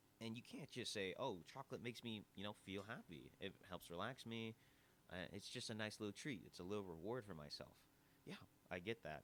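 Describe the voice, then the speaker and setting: A man's fairly low voice, fairly quick and animated in tone, with ordinary pitch variation. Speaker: podcast host. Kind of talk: casual podcast monologue. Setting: live recording at an audio bar. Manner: loud.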